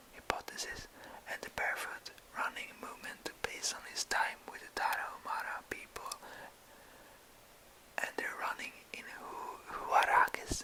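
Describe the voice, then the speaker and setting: A man whispers at a moderate pace, with long, frequent pauses. Noticeable background noise runs under his voice. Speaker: ASMR creator. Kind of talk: ASMR reading aloud. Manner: whispered.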